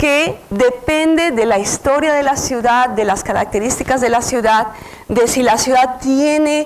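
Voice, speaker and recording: A high-pitched woman at a fairly slow pace, ordinary pitch variation, with noticeable background noise. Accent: Mexican. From Mexico City. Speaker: researcher lecturer. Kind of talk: lecture. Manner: halting, many fillers.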